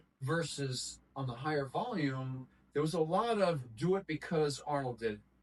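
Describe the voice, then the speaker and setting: Noticeable background noise sits behind the recording. A man with a fairly high pitch talks at a moderate pace with lively intonation. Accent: American. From New York. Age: 60s. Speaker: bodybuilding trainer. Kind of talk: casual interview chat. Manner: animated.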